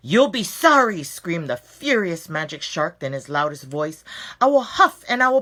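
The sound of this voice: An unforced reading voice carries this clip.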